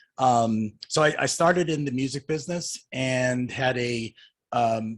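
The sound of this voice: Pitch varies in an ordinary way as a man talks at a medium pitch.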